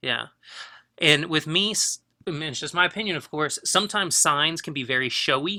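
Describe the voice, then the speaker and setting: A man with a fairly high pitch and a bright, sharp tone talks at a fairly quick pace with ordinary pitch variation. The recording is very clean, with a silent background. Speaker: photography teacher. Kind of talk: critique of student work. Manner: fast; casual, hesitant with fillers.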